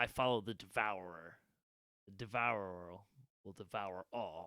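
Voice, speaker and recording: A man uses a put-on character voice at a fairly low pitch. His intonation stays fairly even. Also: fairly slow pace. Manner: evil, menacing.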